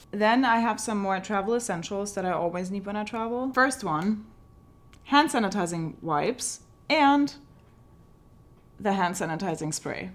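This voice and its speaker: A woman with a German accent, with long, frequent pauses. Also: medium pitch for a woman, lively intonation, moderate pace. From Germany. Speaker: travel and tech vlogger. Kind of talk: casual product walkthrough vlog.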